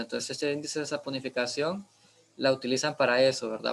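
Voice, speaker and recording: Fairly even in intonation, a man speaks at a medium pitch. His pace is fairly quick. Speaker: biochemistry instructor. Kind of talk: lecture. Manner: halting, many fillers.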